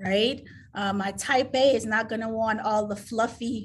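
With vocal fry, a woman speaks at a fairly slow pace. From Caribbean. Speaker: admissions director. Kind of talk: interview. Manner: halting.

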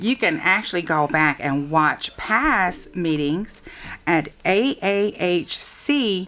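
Against noticeable background noise, a woman with an American accent speaks at a very slow pace with very wide pitch swings. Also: medium pitch for a woman, very even loudness. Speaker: radio host. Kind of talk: radio interview.

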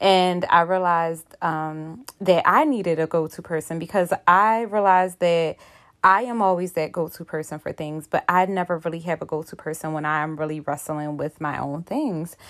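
A woman talks in a plain, everyday voice at a fairly low pitch. Her pace is moderate, her intonation fairly even, with hardly any pauses. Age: 30s. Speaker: podcast host. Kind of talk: casual monologue. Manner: casual, filler-heavy.

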